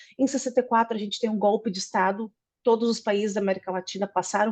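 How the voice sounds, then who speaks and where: A woman speaks with a Brazilian accent. Her medium-pitched voice shows ordinary pitch variation. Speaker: political scientist. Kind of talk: academic presentation.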